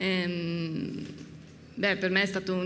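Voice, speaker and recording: A woman at a medium pitch and a very slow pace. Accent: strong Italian. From northern Italy, Piedmont. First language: Italian. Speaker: winemaker. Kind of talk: live talk-tasting conversation. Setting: stage with audience at a wine fair. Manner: halting, hesitant in English; laughs often.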